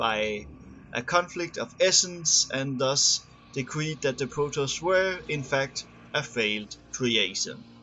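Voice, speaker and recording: This man has a non-native accent and a fairly high pitch. He speaks at a fairly slow pace. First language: not English. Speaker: gamer reading game lore. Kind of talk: reading aloud. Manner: halting, stumbles over long words.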